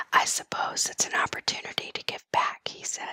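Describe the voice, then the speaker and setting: A woman whispering in a calm, soothing tone at a moderate pace, the sound dry and close with no echo. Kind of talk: news reading, whispered ASMR. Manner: whispered, calm, soothing.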